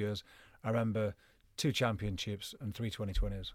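In a Cumbrian accent, a man talks very fast at a medium pitch, on a very clean recording with a silent background. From northern England, Cumbria (Penrith). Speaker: retired cricketer. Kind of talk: casual chat. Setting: studio. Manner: animated.

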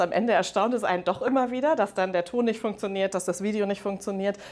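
Speech runs at a very fast pace with hardly any pauses, ordinary pitch variation and very even loudness. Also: woman. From Germany, Rhineland. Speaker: head of mergers and acquisitions at a manufacturer. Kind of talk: interview. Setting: conference venue.

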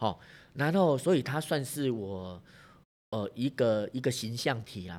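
This man has a medium pitch, a Taiwanese accent and lively intonation, speaking at a fairly slow pace. The recording is very clean with a silent background. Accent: Taiwanese Mandarin. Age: 50s. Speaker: bank manager and career coach. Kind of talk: interview. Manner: hesitant with fillers.

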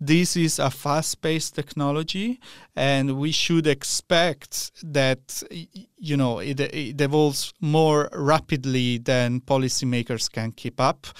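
On a very clean recording with a silent background, a man speaks at a very slow pace with a fairly high pitch and ordinary pitch variation. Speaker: tech journalist. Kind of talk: radio interview. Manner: measured, explanatory.

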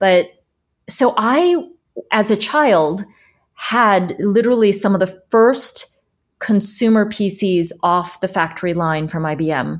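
With an American accent, a woman speaks at a medium pitch and a very slow pace, her intonation lively. The recording is very clean, with a silent background. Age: 50s. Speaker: sustainability consultant and former tech entrepreneur. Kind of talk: interview. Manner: animated.

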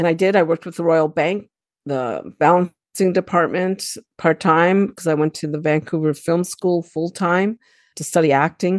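A woman speaks in a plain, everyday voice, fairly low in pitch, at a moderate pace with fairly even intonation. The sound is dry and close with no echo, against a quiet background. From Canada. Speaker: fitness professional. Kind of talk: interview conversation.

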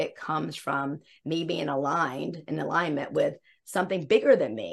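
Against a quiet background, a woman speaks with a slight Southern US accent. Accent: slight Southern twang. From US South, South Carolina. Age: 50s. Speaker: embodiment coach. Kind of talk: casual interview.

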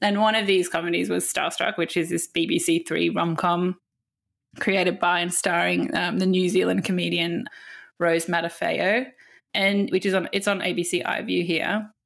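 A woman's voice with vocal fry, ordinary pitch variation, very even loudness and a moderate pace, on a very clean recording with a silent background. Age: 30s. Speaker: film magazine editor. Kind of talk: casual chat.

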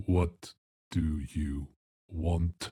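A man's put-on character voice, very deep and low in pitch. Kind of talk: curt, suspicious. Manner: monotone.

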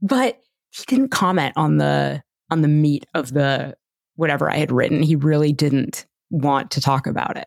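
A woman speaks at a moderate pace with a Canadian accent. The sound is dry and close with no echo. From Toronto, Canada. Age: 40s. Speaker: orthodontist in recovery. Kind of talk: interview, personal testimony.

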